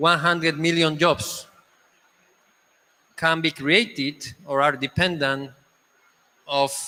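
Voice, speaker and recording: A man with a Spanish accent speaks at a fairly high pitch. His tone is bright and sharp, and his intonation fairly even. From Spain. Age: 50s. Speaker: panel moderator. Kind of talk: panel discussion moderation. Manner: halting.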